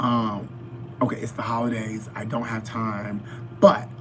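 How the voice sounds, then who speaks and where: A man with a medium-pitched voice speaks at a moderate pace against noticeable background noise. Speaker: fitness vlogger. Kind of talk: live-stream mukbang chat. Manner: casual, addresses viewers directly.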